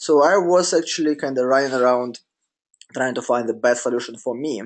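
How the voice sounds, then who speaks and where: With a Russian accent, a man talks at a moderate pace with ordinary pitch variation. The background is quiet. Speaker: business coach. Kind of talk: webinar presentation. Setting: online webinar. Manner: halting, many fillers.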